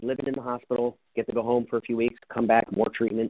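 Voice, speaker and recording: A man with an American accent, medium pitch and a very fast pace. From New Jersey. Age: 40s. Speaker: real estate investor and entrepreneur. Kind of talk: interview.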